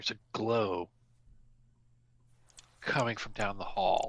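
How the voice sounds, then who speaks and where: Putting on a character voice, a man speaks at a fairly slow pace in a fairly low pitch. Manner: cautious, tense.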